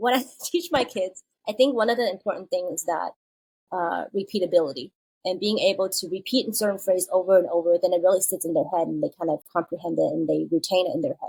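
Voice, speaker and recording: A woman with a Chinese accent speaks very fast at a medium pitch, her dark, mellow tone carrying vocal fry in a dry, close sound with no echo. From China, moved to US at eleven. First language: Mandarin Chinese. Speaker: children's book author. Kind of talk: podcast interview. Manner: casual, with many fillers.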